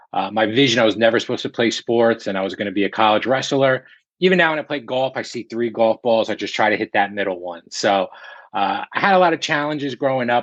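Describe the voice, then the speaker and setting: A man with a slight New Jersey accent speaks very fast at a medium pitch, with ordinary pitch variation. The sound is dry and close with no echo, and the background is quiet. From central New Jersey. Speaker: real estate broker. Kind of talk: interview.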